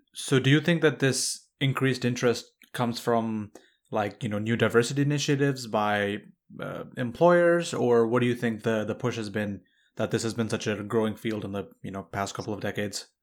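At a fairly quick pace, a man speaks in an ordinary speaking voice. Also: medium pitch for a man, ordinary pitch variation. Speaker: podcast host. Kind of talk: interview. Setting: video call.

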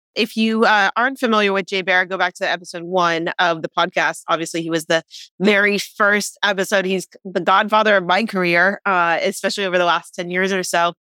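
A normal speaking voice moves at a fairly quick pace with hardly any pauses and fairly even intonation. The sound is dry and close with no echo, in a very clean recording with a silent background. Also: woman, medium pitch for a woman. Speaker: podcast host. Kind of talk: interview conversation.

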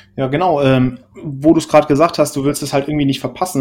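A man with a fairly high pitch and a dark, mellow tone speaks with fairly even intonation. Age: 20s. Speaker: podcast co-host, software developer. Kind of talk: casual chat. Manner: halting, many fillers.

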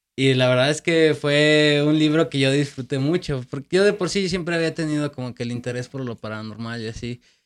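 An ordinary speaking voice moves at a fairly quick pace with ordinary pitch variation and hardly any pauses. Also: man, fairly high pitch for a man, very clean recording, silent background. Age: 30s. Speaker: podcast host. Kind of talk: casual interview chat.

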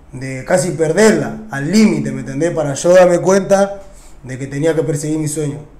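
Amid noticeable background noise and audible room echo, a man talks at a moderate pace with a high pitch and fairly even intonation. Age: 20s. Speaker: urban music artist. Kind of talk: interview. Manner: casual slangy speech with frequent fillers.

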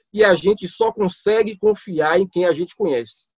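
In a dry, close sound with no echo, a man with a high pitch talks with ordinary pitch variation. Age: 30s. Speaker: lay preacher. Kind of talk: teaching.

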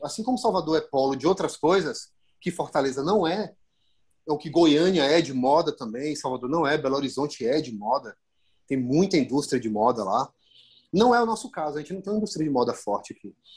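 With a plain, everyday voice, a man speaks fairly quickly in a fairly high pitch and lively intonation. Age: 30s. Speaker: fashion photographer. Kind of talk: casual chat.

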